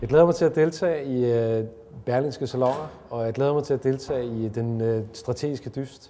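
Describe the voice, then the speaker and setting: A normal speaking voice from a man, medium-pitched with fairly even intonation, at a moderate pace. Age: 40s. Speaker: company chief executive. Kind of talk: promotional interview statement.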